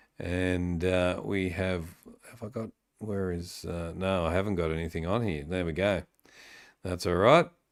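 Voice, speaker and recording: In a Sydney accent, a man speaks on a very clean recording with a silent background. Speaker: AFL podcast host. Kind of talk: live-stream sports chat with viewers. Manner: hesitant, many fillers.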